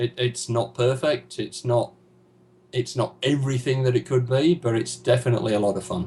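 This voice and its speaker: The pace is moderate with ordinary pitch variation. Noticeable background noise can be heard. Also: man. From Yorkshire, northern England (Huddersfield). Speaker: gamer, interview guest. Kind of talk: casual interview.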